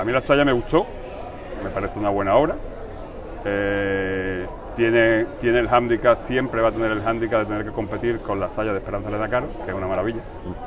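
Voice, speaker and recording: Audible room echo and noticeable background noise surround a man talking at a fairly quick pace in a fairly low voice. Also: fairly even intonation. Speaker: brotherhood member. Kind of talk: radio interview.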